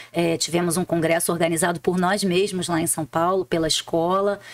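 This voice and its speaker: This woman talks in a Rio de Janeiro accent. Her pitch is fairly low and her pace moderate. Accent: Rio de Janeiro (carioca). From Rio de Janeiro, Brazil. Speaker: public prosecutor. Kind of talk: interview conversation. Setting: studio.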